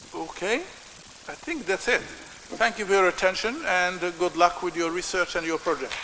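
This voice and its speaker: Loud and high-pitched, a man talks at a moderate pace with ordinary pitch variation amid noticeable background noise. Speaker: professor. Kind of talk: lecture. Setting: lecture hall with audience. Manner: halting.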